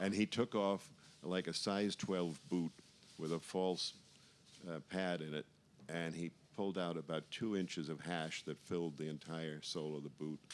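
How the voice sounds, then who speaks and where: With an American accent, a man speaks at a moderate pace in a very deep, low pitch, his intonation fairly even. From New York. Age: 70s. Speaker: photographer and reggae archivist. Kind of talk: casual chat.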